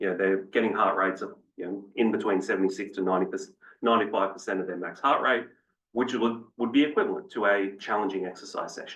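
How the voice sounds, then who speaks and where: Talking at a very fast pace, a man with an Australian accent uses a fairly low pitch and fairly even intonation. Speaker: fitness researcher. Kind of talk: panel presentation.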